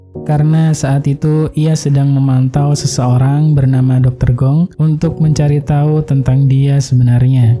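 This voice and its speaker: Over background music, a man with a fairly high-pitched voice speaks at a moderate pace in a flat, monotone delivery. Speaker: voice-over narrator. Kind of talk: film recap narration.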